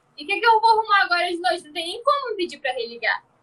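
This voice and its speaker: A woman talks in a raised, projected voice with a bright, sharp tone. Her pitch swings very widely. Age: 20s. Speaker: podcast host and social media creator. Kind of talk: casual chat.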